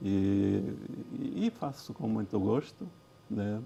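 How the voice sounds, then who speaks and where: A man's fairly low, dark, mellow voice with vocal fry and ordinary pitch variation. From Angola (Cuito, Bié). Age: 70s. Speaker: former justice minister and lawyer. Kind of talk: TV interview. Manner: halting, many repetitions.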